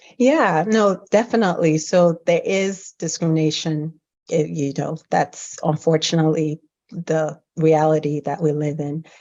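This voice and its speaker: Her pitch very deep and low, a woman speaks with an American accent and ordinary pitch variation. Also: fairly slow pace. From Nigeria. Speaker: physician. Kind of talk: interview podcast.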